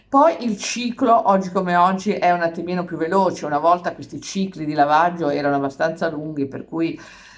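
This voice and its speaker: A woman's fairly low voice at a fairly quick pace, with ordinary pitch variation and hardly any pauses. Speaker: vlogger. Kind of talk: casual vlog chat. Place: kitchen. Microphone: phone near.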